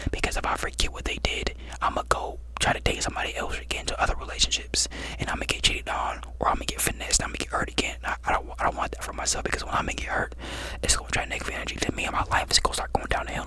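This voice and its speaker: A man whispers at a very fast pace. Background noise is noticeable. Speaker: ASMR creator. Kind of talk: advice talk to camera, ASMR-style. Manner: conversational, reassuring.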